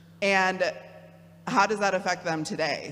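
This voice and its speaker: Through audible room echo, a woman with a Midwestern accent speaks with fairly even intonation. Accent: Midwest. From US Midwest (Kalamazoo, Michigan). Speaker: theologian and program director. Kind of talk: talk to a parish audience. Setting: church hall with audience, no podium. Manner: casual, with many fillers.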